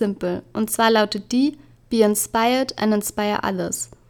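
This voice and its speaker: A woman with a fairly high pitch at a moderate pace. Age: 20s. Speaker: podcast host. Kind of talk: solo podcast monologue.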